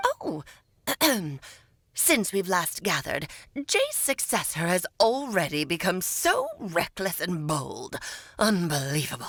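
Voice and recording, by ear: A woman's put-on character voice at medium pitch, fairly slow, with long, frequent pauses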